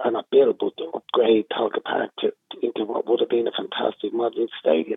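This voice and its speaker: At a fairly quick pace, a man speaks with an Irish accent. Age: 60s. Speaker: former football manager. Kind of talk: casual interview.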